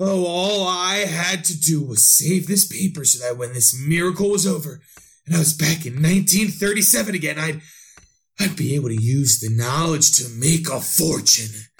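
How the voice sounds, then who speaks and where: Lively intonation marks a man's speech at a moderate pace. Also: fairly high pitch for a man. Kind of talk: 1930s radio horror monologue. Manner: feverish, increasingly frantic.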